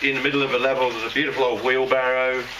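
A man's voice with noticeable background noise. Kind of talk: casual vlog chat. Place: tunnel cave. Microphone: camera far.

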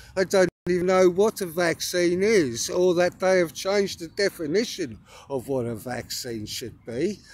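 An English accent with lively intonation at a moderate pace, dry sound with no echo. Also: man, high pitch for a man. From England. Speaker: spiritual vlogger. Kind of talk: casual monologue. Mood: earnest, emphatic. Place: open country. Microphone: phone near.

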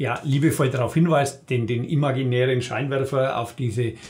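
A man speaks with a Franconian accent, his voice somewhat breathy and his intonation fairly even. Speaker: dialect cabaret artist. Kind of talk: interview answer. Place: studio.

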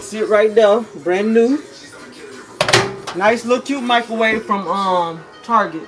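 Over faint background music, a woman speaks slowly with ordinary pitch variation. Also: medium pitch for a woman.

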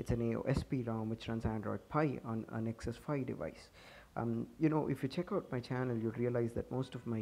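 Over a quiet background, a man mumbles at a medium pitch and a fairly quick pace. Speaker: tech YouTuber. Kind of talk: casual tech review to camera. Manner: hurried, some mumbling.

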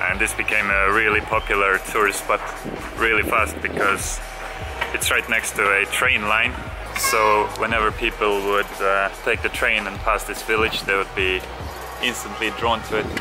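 Clear music sounds in the background. Over it, a man talks at a moderate pace. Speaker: travel vlogger. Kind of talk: casual vlog chat. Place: waterside. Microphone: phone near.

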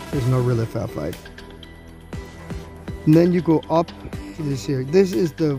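Music plays in the background as a man talks at a fairly slow pace. His intonation is lively. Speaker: roller coaster reviewer. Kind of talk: casual ride review voiceover.

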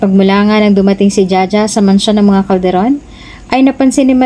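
The voice reads in an unforced way, its pitch shifting by ordinary amounts.

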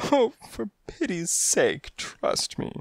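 A put-on character voice comes out high and shaky. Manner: pleading, desperate.

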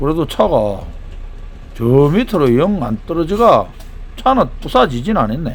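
A man with a strong Gyeongsang accent, fairly high-pitched, with very wide pitch swings, a fairly slow pace, long and frequent pauses, and noticeable background noise. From Daegu, Gyeongsang region. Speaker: tow truck driver. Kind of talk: casual narration of work video. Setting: outdoors.

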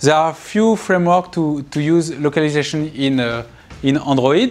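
A man with a French accent at a fairly slow pace, with ordinary pitch variation. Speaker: university computer science lecturer. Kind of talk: recorded university lecture. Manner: hesitant, many filler sounds. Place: classroom.

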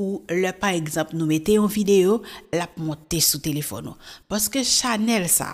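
A woman with an ordinary speaking voice and medium pitch talks at a fairly slow pace over a quiet background. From Haiti. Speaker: YouTube news presenter; news presenter. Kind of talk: casual commentary. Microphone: studio mic.

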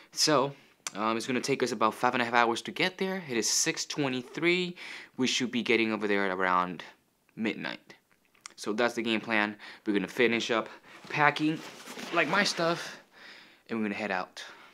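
Speaking at a moderate pace with lively intonation, a man leaves long, frequent pauses. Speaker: travel vlogger. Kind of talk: casual vlog chat. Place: home room. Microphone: phone near.

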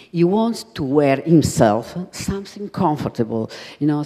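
A woman speaks in a very deep, low pitch with an Italian accent. Her tone is dark and mellow. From Italy. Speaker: designer's widow and collaborator; guest. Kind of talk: panel discussion. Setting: stage with audience. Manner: halting. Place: hall. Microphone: handheld.

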